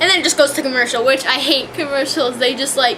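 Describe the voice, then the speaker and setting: A woman projects a raised, high-pitched voice with fairly even intonation. Noticeable background noise runs underneath. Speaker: vlogger reviewing a TV show. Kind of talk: casual rant. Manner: hesitant, many fillers and restarts.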